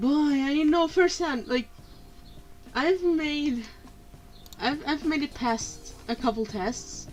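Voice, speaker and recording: Music sounds behind the voice. A woman talks with lively intonation. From Italy. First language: Italian. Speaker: digital artist streamer. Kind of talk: casual chat. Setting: live stream. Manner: animated.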